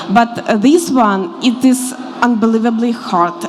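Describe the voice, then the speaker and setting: Noticeable noise sounds in the background. Over it, a woman talks very slowly. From Ukraine. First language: Ukrainian and Russian. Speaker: newcomer interviewee. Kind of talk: panel interview.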